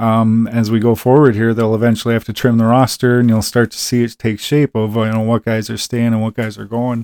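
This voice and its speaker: A man with a Wisconsin accent talks at a fairly quick pace with monotone, flat intonation, in a very clean recording with a silent background and a dry, close sound with no echo. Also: medium pitch for a man. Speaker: sports podcast host. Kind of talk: casual solo sports talk. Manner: halting, many fillers.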